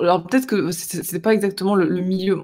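A dark, mellow tone and fairly even intonation come through on a very clean recording with a silent background. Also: man. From France, Marseille. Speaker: guest talking about living abroad. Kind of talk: interview conversation.

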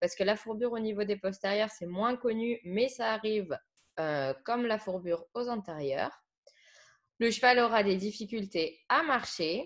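In an ordinary speaking voice, a woman talks at a fairly slow pace with a fairly high pitch and lively intonation against a quiet background. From France, Saône-et-Loire. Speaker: equine care podcast co-host. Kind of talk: educational podcast chat.

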